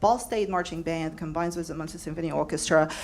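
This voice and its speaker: A woman speaks with a non-native accent. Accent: foreign. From overseas, non-US. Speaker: public media worker, former orchestra director. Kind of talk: community forum comment. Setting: panel forum with audience. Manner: halting, many fillers.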